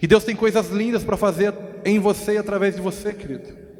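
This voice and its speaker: Noticeable background noise sits behind this man's voice. He speaks at a moderate pace with a high pitch. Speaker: pastor. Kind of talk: sermon.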